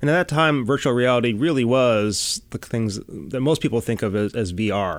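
A normal speaking voice from a man with an American accent, medium pitch, moderate pace and lively intonation, on a very clean recording with a silent background. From US Midwest, Chicago. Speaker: NASA robotics scientist. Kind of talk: interview.

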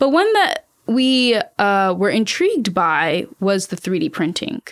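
A woman with an American accent on a very clean recording with a silent background. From US South, Savannah, Georgia. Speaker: space project manager. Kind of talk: interview.

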